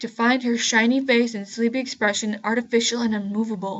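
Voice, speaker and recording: A woman speaks at a fairly high pitch in a monotone, flat delivery. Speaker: creepypasta reader. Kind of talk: horror story reading. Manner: sardonic, mocking.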